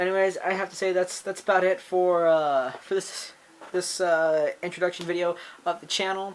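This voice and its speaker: Over noticeable background noise, the speaker keeps a moderate pace in a monotone, flat intonation. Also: man, high pitch for a man. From United States. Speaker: gaming YouTuber. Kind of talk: channel introduction vlog. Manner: halting, many fillers and restarts.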